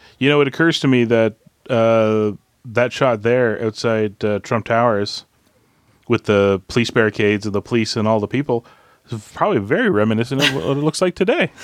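Man with a normal speaking voice at medium pitch, a fairly quick pace, ordinary pitch variation and a dry, close sound with no echo. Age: 40s. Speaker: podcast co-host. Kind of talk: film commentary chat.

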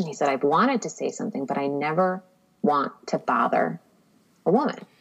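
Her pitch very deep and low, a woman speaks at a moderate pace with lively intonation. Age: 30s. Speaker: podcast guest, writer. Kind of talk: casual interview chat.

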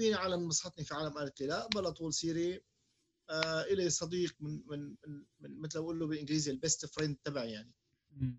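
Speaking at a fairly quick pace, a man with an unremarkable speaking voice shows a fairly high pitch and ordinary pitch variation. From Syria. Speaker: podcast co-host. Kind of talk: casual chat.

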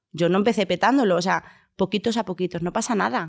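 Speaking at a fairly quick pace with vocal fry, a woman is heard on a very clean recording with a silent background. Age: 30s. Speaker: content creator. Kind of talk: casual chat.

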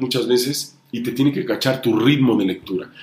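At a moderate pace, a man speaks at medium pitch in an ordinary speaking voice. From Honduras and Mexico. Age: 40s. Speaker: music TV presenter. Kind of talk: interview.

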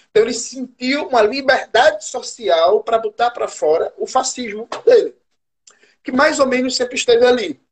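With lively intonation and an extremely high pitch, a man speaks at a moderate pace in a dry, close sound with no echo. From Brazil, Recife. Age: 30s. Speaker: historian and political activist. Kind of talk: live stream conversation.

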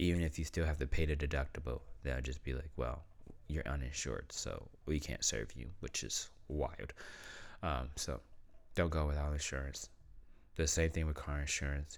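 With vocal fry and a very deep, low pitch, a man talks at a moderate pace with fairly even intonation. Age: young. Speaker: podcast host. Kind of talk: casual monologue.

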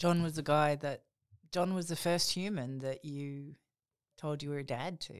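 With an Australian accent, a woman speaks at a moderate pace in a very deep, low pitch and fairly even intonation. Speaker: podcast co-host, author. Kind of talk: casual chat.

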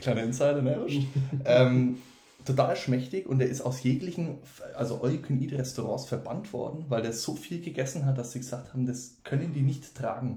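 A man's somewhat breathy voice with a dark, mellow tone, medium pitch, fairly even intonation and a moderate pace. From Franconia, Germany (Wendelstein near Nuremberg). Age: 20s. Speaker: student. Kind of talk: casual chat.

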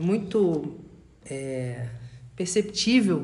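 A man's high voice rings with audible room echo. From Rio de Janeiro. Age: 20s. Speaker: podcast panelist, finance professional. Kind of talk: casual group discussion.

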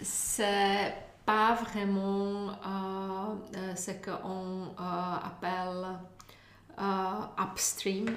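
Amid audible room echo and noticeable background noise, a woman with a Czech accent speaks at a very slow pace, medium in pitch, with monotone, flat intonation. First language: Czech (speaking French). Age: 40s. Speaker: former government official, EU agency communications chief. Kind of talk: interview. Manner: halting.

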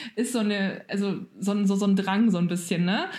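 A somewhat breathy woman's voice at medium pitch, with ordinary pitch variation and a fairly quick pace. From Germany. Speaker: podcast co-host. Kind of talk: casual chat.

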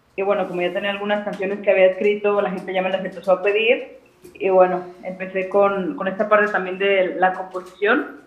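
Noticeable background noise sits behind a woman speaking. She talks fairly quickly with monotone, flat intonation. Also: medium pitch for a woman. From Guadalajara, Mexico. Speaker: singer-songwriter. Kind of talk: interview.

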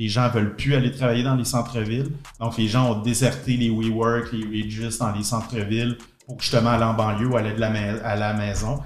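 Talking at a moderate pace in a somewhat breathy, medium-pitched voice, a man keeps a monotone, flat intonation while audible room echo surrounds him. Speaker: entrepreneur. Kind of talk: interview.

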